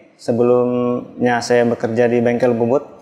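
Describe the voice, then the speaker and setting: A man at a moderate pace and a medium pitch. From West Java, Indonesia. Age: 40s. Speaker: street drink vendor. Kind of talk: interview testimony. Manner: hesitant, frequent fillers.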